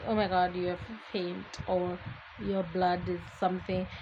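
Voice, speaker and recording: The pace is moderate as a woman speaks. Noticeable background noise runs underneath. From Botswana. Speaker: podcast host. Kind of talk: casual monologue. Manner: mumbling; chatty.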